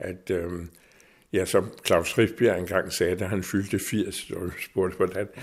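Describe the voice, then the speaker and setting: In a very clean recording with a silent background, a man with a very deep, low pitch speaks at a fairly slow pace with fairly even intonation. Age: 70s. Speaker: author and editor. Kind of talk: interview conversation.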